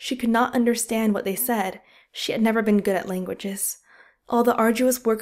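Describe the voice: Plain reading aloud with fairly even intonation sits over a quiet background.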